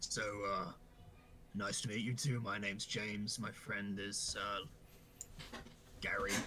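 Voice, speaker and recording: A raspy, put-on character voice holds fairly even intonation and very even loudness, breaking into long, frequent pauses over clear background noise. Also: man, fairly low pitch for a man, moderate pace. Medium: actual play. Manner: casual, hesitant.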